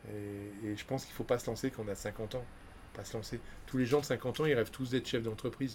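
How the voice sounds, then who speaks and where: Somewhat breathy, a man rushes along at a very fast pace with big swings in loudness. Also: medium pitch for a man, fairly even intonation. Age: 50s. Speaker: business owner. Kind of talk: casual chat.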